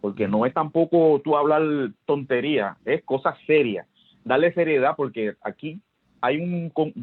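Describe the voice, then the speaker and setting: With a plain, everyday voice, a man talks at a fairly slow pace, using a fairly high pitch and lively intonation. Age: 60s. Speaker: sports historian. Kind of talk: interview.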